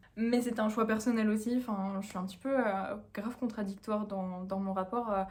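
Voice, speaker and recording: With hardly any pauses, a woman speaks in a monotone, flat intonation, her voice fairly high and somewhat breathy. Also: moderate pace. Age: 20s. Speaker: dietitian vlogger. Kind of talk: casual vlog talk. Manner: hesitant, many fillers.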